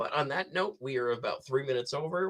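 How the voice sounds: A man at a fast pace with lively intonation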